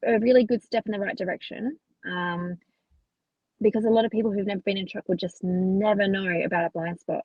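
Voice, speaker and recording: This woman has an Australian accent and a somewhat breathy voice. Her pitch varies in an ordinary way. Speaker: truck driver. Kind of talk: interview answer.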